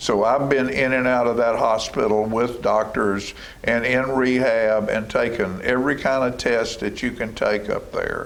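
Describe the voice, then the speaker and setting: Speaking at a moderate pace with hardly any pauses, a man with a Tennessee accent keeps a medium pitch and very even loudness, with audible room echo and noticeable background noise. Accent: US Southern (Tennessee). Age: 70s. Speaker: local TV talk show host. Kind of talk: casual interview chat. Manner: animated.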